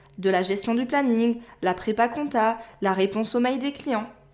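A woman with an unremarkable speaking voice talks at a moderate pace, her pitch fairly high with ordinary variation. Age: 20s. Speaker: podcast host and virtual assistant. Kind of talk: solo podcast monologue.

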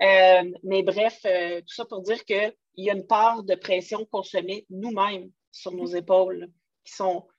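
A woman speaks with a Quebec accent in a monotone, flat intonation. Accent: Québécois French. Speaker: podcast host, entrepreneur. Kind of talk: casual interview chat. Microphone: poor voice recording quality.

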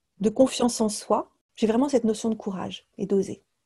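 This woman's voice is somewhat breathy. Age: 40s. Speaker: leadership coach and entrepreneur. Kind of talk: interview conversation. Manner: hesitant, many fillers.

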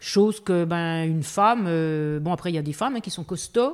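This woman has an unremarkable speaking voice, fairly low in pitch, and she talks at a fairly slow pace. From eastern France (Belfort). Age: 50s. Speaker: goji berry farmer. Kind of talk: casual interview. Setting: house under renovation.

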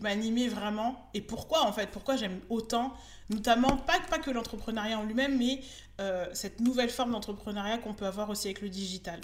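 Woman's fairly high voice at a moderate pace. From France, Bordeaux. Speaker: Instagram business coach. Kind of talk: interview. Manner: hesitant, many fillers.

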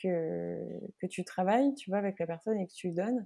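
Against a quiet background, a woman speaks at a medium pitch in a dark, mellow tone. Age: 30s. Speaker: personal branding coach. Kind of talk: casual interview.

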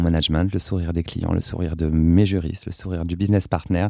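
This man's tone is dark and mellow. He talks at a fairly quick pace. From France, Seine-et-Marne (rural farm). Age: 40s. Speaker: legal operations manager. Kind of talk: interview. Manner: hesitant, many repetitions.

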